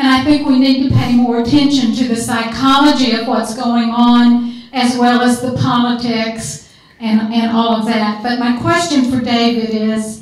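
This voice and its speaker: A woman with a Southern US accent speaks high and fairly slowly, with monotone, flat intonation and hardly any pauses. Noticeable background noise runs beneath her. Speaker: audience member. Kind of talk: audience question at panel discussion.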